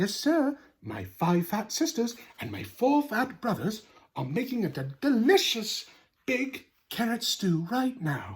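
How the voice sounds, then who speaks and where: A put-on character voice, fairly high in pitch and fairly slow in pace. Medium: read story. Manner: eager, cheerful.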